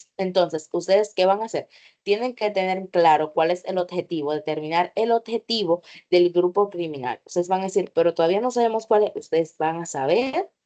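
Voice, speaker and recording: This woman has a dark, mellow tone at medium pitch, with ordinary pitch variation. She speaks at a fairly quick pace, and the sound is dry and close with no echo. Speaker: teacher. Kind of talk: online workshop lecture.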